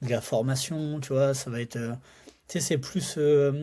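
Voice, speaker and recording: A man speaks at a moderate pace in a fairly high pitch with fairly even intonation. His voice is somewhat breathy, with a dark, mellow tone. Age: 30s. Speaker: entrepreneur and sales expert. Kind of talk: casual podcast conversation. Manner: casual, many fillers.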